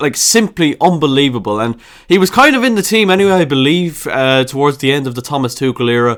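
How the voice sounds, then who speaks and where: Talking at a very fast pace, a man with an Irish Midlands accent has a fairly high, animated voice and lively intonation. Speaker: football YouTuber. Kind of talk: football opinion vlog.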